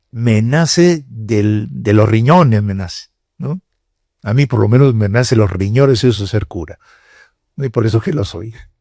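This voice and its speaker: A man with a medium pitch and a dark, mellow tone talks at a fairly slow pace. His voice is somewhat breathy, and his intonation is lively. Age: 70s. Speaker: cardinal and priest giving a lecture. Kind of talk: lecture to university students. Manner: conversational, with hesitations.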